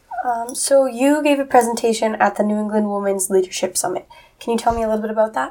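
With noticeable background noise behind her, a woman with an American accent talks at a very fast pace, her fairly high voice showing ordinary pitch variation. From Massachusetts, US. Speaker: college student, guest interviewer. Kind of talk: interview.

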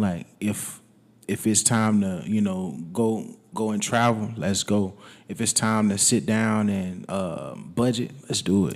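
Here a man speaks very slowly, his pitch fairly low. His pitch varies in an ordinary way. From US South, Alabama (Wetumpka). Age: 20s. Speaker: rapper and audio engineer. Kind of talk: casual interview. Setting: studio.

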